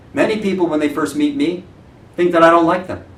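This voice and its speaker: There is audible room echo around a man speaking. His pitch is fairly high and his intonation lively. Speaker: real estate branch manager. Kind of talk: motivational talk. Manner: loud.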